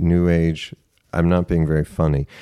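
A man with an American accent speaks at a fairly quick pace in a very deep, low pitch, his dark, mellow tone and fairly even intonation captured in a dry, close sound with no echo. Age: 50s. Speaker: author and screenwriter. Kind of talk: casual chat.

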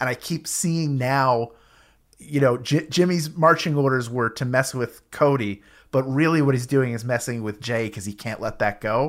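A man with a plain, everyday voice talks at a moderate pace, his medium pitch showing ordinary variation. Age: 40s. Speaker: podcast host. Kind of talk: casual chat.

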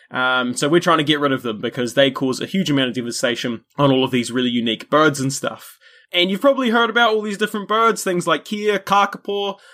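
With a New Zealand accent, a man talks at a very fast pace in a fairly high pitch, his voice swinging very widely in pitch and hardly ever pausing. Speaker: history podcaster and wildlife conservation worker. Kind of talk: casual chat.

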